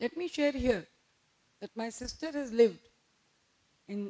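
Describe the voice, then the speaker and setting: Loud and dark, mellow in tone, a woman's voice comes through with a dry, close sound and no echo. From India. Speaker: academic speaker. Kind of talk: formal lecture.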